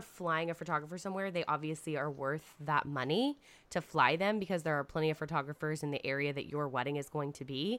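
Over a very clean recording with a silent background, a woman speaks very fast in a very deep, low voice that has a bright, sharp tone and ordinary pitch variation. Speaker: wedding planner and podcast co-host. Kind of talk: casual chat.

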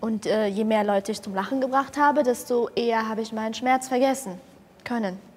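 Noticeable background noise under fairly even intonation and a fairly quick pace. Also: woman, fairly high pitch for a woman. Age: 20s. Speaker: comedian. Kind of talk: casual chat. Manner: loud.

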